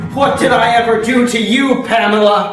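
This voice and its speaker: A man speaks in a put-on character voice, pitched extremely high. There is a slight echo. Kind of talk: comic soap opera overacting. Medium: comedy sketch. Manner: melodramatic.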